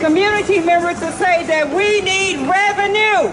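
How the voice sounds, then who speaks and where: Over crowd noise and audible room echo, a woman with an extremely high voice speaks at a very slow pace with ordinary pitch variation. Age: 60s. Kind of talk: rally speech. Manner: loud.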